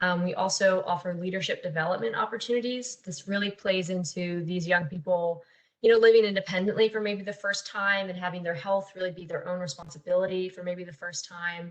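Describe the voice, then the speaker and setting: The speaker has a plain, everyday voice and talks at a fairly quick pace with hardly any pauses. Intonation stays fairly even while loudness swings widely. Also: woman, medium pitch for a woman. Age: 20s. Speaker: youth peer support specialist. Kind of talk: webinar presentation.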